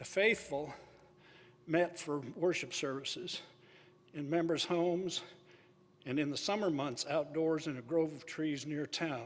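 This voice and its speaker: With audible room echo, a man with a fairly high pitch and ordinary pitch variation talks at a fairly slow pace, with long, frequent pauses. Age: 80s+. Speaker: church deacon and retired college dean. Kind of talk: public presentation read from script. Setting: stage with audience at a symposium. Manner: reading aloud from notes.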